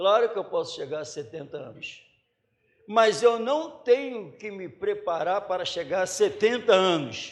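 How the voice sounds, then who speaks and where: With ordinary pitch variation, the man speaks in a voice that sits high. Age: 50s. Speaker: pastor. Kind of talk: sermon. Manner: animated.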